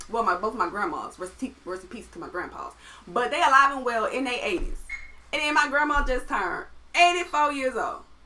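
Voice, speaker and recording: A woman speaks at a fairly quick pace in a high, raised, projected voice, her pitch swinging very widely and her loudness rising and falling sharply, over noticeable background noise. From US South, Atlanta, Georgia. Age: 20s. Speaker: musician and producer. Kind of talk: casual chat.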